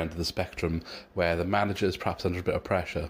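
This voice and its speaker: On a very clean recording with a silent background, a man speaks with a Welsh accent. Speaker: rival football podcaster. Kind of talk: recorded preview.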